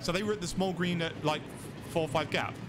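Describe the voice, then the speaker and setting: A man is speaking. Background noise is noticeable. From England, Derby. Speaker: game streamer. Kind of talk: live gameplay commentary. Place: home room.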